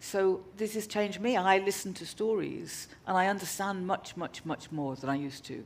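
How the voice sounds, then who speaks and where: A woman speaks at a medium pitch. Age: 60s. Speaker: arts festival founder. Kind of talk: on-stage interview. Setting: stage with audience. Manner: halting.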